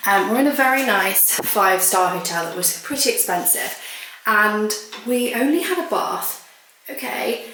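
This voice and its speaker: A woman with a fairly high voice speaks at a moderate pace with lively intonation, with audible room echo and noticeable background noise. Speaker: lifestyle vlogger. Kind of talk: vlog. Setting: outdoors. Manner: chatty; quiet.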